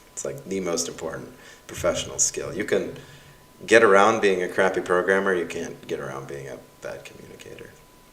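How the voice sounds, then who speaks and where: Amid noticeable background noise and audible room echo, a man talks at a fairly quick pace with big swings in loudness. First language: Russian. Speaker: university professor. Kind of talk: livestream reading course evaluations. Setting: livestream with YouTube chat. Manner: casual, animated.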